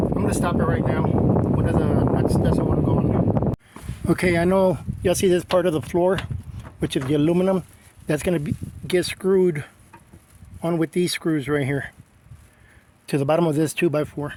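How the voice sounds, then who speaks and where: Someone speaks at a moderate pace with long, frequent pauses over noticeable background noise. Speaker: DIY vlogger. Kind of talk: tutorial. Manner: halting.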